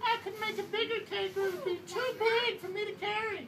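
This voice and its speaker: A squeaky, put-on character voice at an extremely high pitch rattles along at a fairly quick pace. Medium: read story.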